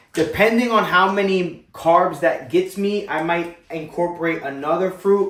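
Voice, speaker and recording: With an American accent and an animated tone, a man speaks at a moderate pace with ordinary pitch variation. There is noticeable background noise. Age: 20s. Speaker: fitness vlogger. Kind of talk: casual vlog talk to camera.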